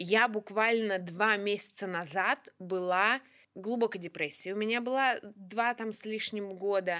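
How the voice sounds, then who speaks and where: Speaking at a very slow pace, a woman with a medium pitch uses a bright, sharp tone and fairly even intonation. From Russia, Kuzbass (Kemerovo). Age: 30s. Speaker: stand-up comedian. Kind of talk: casual chat.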